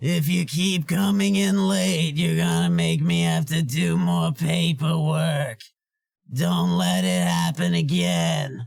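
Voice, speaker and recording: A man puts on a raspy character voice at medium pitch, with very wide pitch swings. His loudness stays very even. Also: fairly slow pace. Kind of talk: character voice demo.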